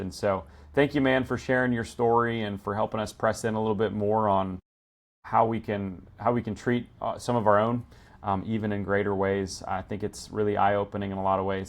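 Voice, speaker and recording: The pace is fairly quick, and the background is quiet. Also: man. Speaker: podcast host and pastor. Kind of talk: casual interview wrap-up. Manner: animated; fast.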